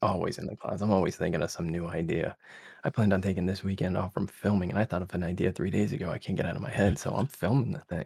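A very fast, soft-spoken, somewhat breathy male voice with an American accent, very deep and low in pitch, with ordinary pitch variation. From Connecticut, US. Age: 30s. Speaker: ASMR content creator. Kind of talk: casual chat.

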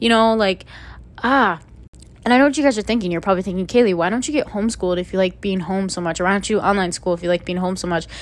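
A woman rattles along at a very fast pace, her pitch varying in an ordinary way. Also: medium pitch for a woman. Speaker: podcast host. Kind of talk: solo podcast monologue, casual chat. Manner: rambling, casual, filler-heavy.

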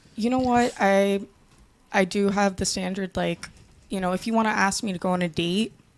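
A woman with an ordinary speaking voice talks at a moderate pace, her medium pitch held in a fairly even intonation. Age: 20s. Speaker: panel guest. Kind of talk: casual panel debate. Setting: studio.

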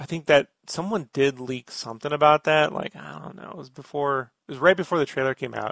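A man's normal speaking voice, fairly high in pitch and fairly quick, with hardly any pauses, big swings in loudness, and a dry, close sound with no echo. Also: ordinary pitch variation. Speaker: podcast host. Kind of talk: casual chat. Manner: talkative, jokey.

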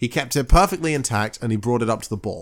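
A man in a southern English accent with very wide pitch swings, in a very clean recording with a silent background. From south of England. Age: 20s. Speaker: podcast host. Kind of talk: casual chat.

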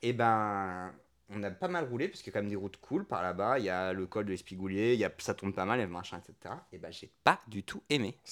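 A man with an ordinary speaking voice talks at a fairly quick pace with ordinary pitch variation and big swings in loudness, on a very clean recording with a silent background. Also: fairly low pitch for a man. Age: 30s. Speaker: podcast co-host, entrepreneur. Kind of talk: casual chat. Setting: at home on a couch.

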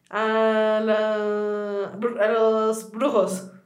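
Music plays behind a woman with audible room echo. She speaks very slowly in a fairly high, monotone, flat voice. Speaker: podcast co-host. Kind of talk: casual chat. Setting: studio.

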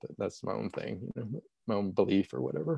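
A man's fairly low voice with vocal fry, at a very fast pace. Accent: American. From Arkansas, US South. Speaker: meditation teacher and educator. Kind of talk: casual interview. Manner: halting.

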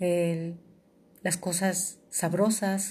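A woman's voice, somewhat breathy, carries a dark, mellow tone at a fairly low pitch. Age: 50s. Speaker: podcast host. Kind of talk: personal monologue. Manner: halting.

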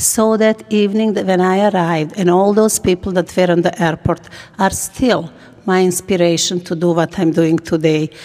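In a Bosnian accent, a woman with a dark, mellow tone talks at a medium pitch and moderate pace, with fairly even intonation and very even loudness. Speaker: nonprofit executive director and former refugee. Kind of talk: interview.

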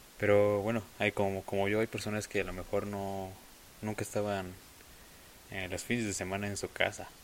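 A man with a Mexican accent talks at a moderate pace and a fairly low pitch. His intonation is monotone and flat, broken by long, frequent pauses. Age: young. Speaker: podcast host. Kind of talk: casual monologue. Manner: hesitant.

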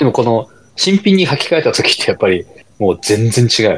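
The pace is fairly quick. The pitch swings are very wide. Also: man. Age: 40s. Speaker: amateur runner podcast co-host. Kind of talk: casual chat.

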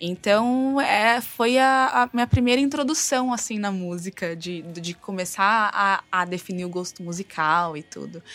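A woman's medium-pitched, ordinary speaking voice, fairly slow yet with hardly any pauses, lively intonation and big swings in loudness. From rural Novo Horizonte, São Paulo state, Brazil. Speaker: tattoo artist, fashion designer and rock singer. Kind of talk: interview.

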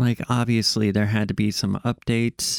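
A man with an unremarkable speaking voice talks at a fairly low pitch with fairly even intonation. The sound is dry and close with no echo, in a very clean recording with a silent background. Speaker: podcast host. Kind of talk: solo casual monologue. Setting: home studio, recorded for video. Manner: rambling, casual, filler words.

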